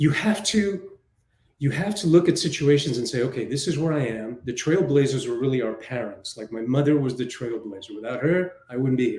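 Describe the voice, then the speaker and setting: A somewhat breathy man with a Spanish accent, medium in pitch, at a fairly quick pace with lively intonation. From New York City. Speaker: film director and writer. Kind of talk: interview. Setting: live online show.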